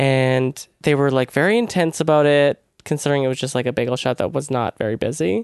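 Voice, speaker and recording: The man's fairly high voice has ordinary pitch variation and a dry, close sound with no echo. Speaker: writer. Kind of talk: casual chat. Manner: low-energy, calm.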